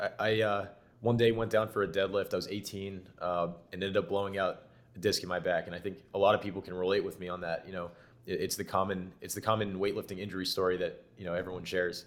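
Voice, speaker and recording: Very fast and monotone, a man of fairly low pitch keeps a flat intonation. The recording is very clean, with a silent background. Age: 20s. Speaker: tech startup founder. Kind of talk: podcast interview.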